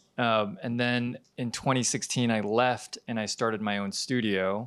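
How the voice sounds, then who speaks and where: A man's fairly low, monotone voice with flat intonation and an American accent, in a very clean recording with a silent background. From United States. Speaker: animation studio founder. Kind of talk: panel discussion.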